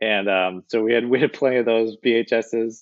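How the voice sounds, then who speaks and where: This man has a normal speaking voice, pitched fairly low, with fairly even intonation. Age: 40s. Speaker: film content creator and film crew worker. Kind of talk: casual chat.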